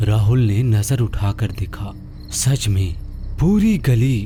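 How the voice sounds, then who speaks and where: A man uses a put-on character voice at a medium pitch and fairly slow pace. Clear background noise runs behind him. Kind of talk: horror narration. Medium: read story. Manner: slow, suspenseful.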